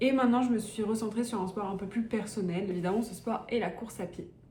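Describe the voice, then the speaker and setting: There is noticeable background noise and audible room echo as a woman speaks. Her fairly high pitch has ordinary variation, and her pace is moderate. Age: 20s. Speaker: vlogger and student runner. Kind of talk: casual vlog talk. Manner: casual, many fillers.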